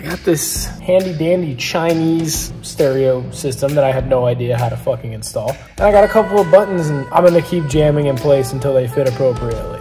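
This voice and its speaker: A man talks at a fairly quick pace with hardly any pauses. Clear music sounds in the background. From Rhode Island. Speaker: mechanic. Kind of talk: casual talk to camera while working. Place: garage. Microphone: phone near.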